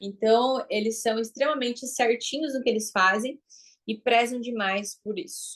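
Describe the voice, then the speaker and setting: A woman's high-pitched voice, fairly slow, with ordinary pitch variation. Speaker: branding and marketing mentor. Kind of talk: online class lecture. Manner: animated.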